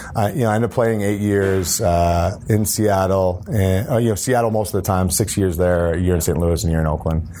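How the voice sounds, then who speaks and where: A man with a very deep, low pitch and an American accent speaks at a fairly quick pace, with very even loudness, ordinary pitch variation and audible room echo. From upstate New York. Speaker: former NFL player and entrepreneur. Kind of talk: interview.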